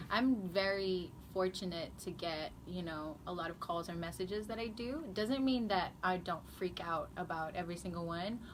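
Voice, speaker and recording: There is audible room echo as a woman with a medium-pitched voice talks at a moderate pace with ordinary pitch variation. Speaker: singer-songwriter. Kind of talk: casual chat.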